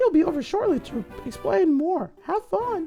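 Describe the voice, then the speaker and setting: Putting on a character voice, a man speaks at an extremely high pitch and a fairly slow pace over faint background music. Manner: sweet, high-pitched.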